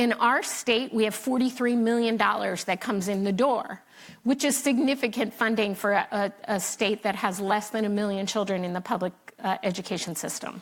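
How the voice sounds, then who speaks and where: The speaker has a normal speaking voice and an American accent. The pace is fairly quick, and pitch variation is ordinary. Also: woman, fairly high pitch for a woman. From Philadelphia, US. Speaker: state education official, panelist. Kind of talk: conference panel talk.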